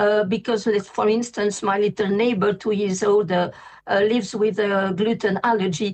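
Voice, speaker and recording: A woman's fairly high voice in a French accent, at a moderate pace with fairly even intonation. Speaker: vegan pastry chef. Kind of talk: interview. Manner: halting.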